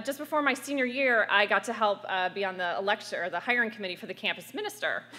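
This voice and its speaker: A woman speaks loudly at a fairly high pitch. She has an American accent. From US, small town. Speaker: activist. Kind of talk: panel talk.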